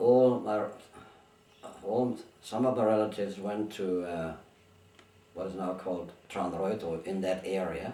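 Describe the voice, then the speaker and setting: Fairly slow speech with long, frequent pauses and fairly even intonation carries audible room echo and noticeable background noise. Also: man, fairly low pitch for a man. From Germany, born in Bulgaria. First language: Bulgarian, then German. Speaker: interviewee, migrant. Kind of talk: oral history interview. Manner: halting, with many restarts.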